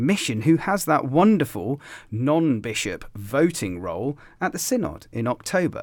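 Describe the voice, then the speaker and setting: The voice moves in very wide pitch swings. The recording is very clean, with a silent background. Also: man. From England, Gloucestershire. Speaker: podcast host. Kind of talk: casual chat. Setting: studio.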